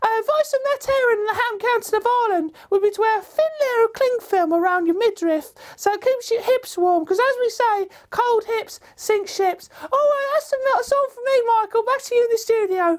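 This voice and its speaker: A woman puts on a squeaky character voice at an extremely high pitch. She talks fairly quickly, with ordinary pitch variation. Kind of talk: deadpan comic weather report. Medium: comedy sketch. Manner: earnest, rambling.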